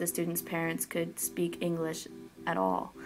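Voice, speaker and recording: A woman talks with an American accent. Her pace is moderate. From Oregon, US. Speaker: college student interviewee. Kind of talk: interview.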